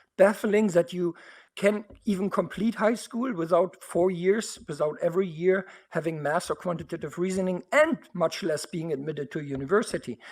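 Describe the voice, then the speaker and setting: A man with a German accent and a high pitch, speaking at a moderate pace with ordinary pitch variation, in a very clean recording with a silent background. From Germany. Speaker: university board trustee. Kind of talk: board meeting statement. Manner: animated.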